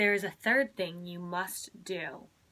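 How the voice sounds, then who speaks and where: Using a put-on character voice, a woman speaks at medium pitch and a moderate pace with ordinary pitch variation. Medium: read story.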